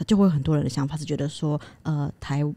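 In a dry sound with no echo, a woman speaks with a dark, mellow tone at a very deep, low pitch. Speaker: podcast co-host. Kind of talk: casual chat. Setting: studio. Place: studio. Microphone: studio mic.

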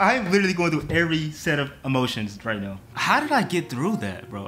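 A man speaks fairly quickly while faint music sits in the background. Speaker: reaction youtuber. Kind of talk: casual vlog chat. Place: home room.

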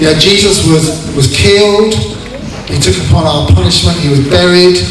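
A man speaks at a moderate pace. Audible room echo and light background noise surround him. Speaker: pastor. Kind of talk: sermon and baptism service. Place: hall.

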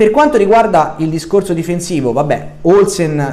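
With lively intonation, a man talks at a very fast pace. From Sardinia. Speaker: football YouTuber. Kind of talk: monologue video commentary. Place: home room. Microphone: webcam.

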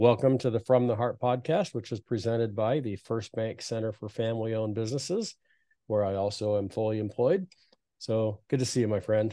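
A man talks at a fairly quick pace with fairly even intonation. The sound is dry with no echo, against a quiet background. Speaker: podcast host. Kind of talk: interview introduction. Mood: warm, friendly. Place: home room. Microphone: studio mic.

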